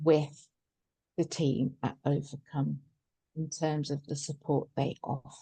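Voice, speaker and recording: A woman's very deep, low voice, dark and mellow in tone and somewhat breathy. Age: 60s. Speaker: psychotherapist, cancer patient. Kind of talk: webinar talk and Q&A. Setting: online webinar.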